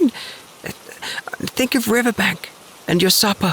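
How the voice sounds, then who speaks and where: Noticeable background noise sits behind a man's voice. His pitch varies in an ordinary way. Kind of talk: sleep story. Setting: home recording booth. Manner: calm.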